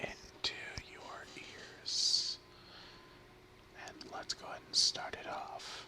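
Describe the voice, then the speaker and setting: Whispering at a very slow pace, a man leaves long, frequent pauses against noticeable background noise. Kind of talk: ASMR word-and-definition reading. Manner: whispered, soft-spoken.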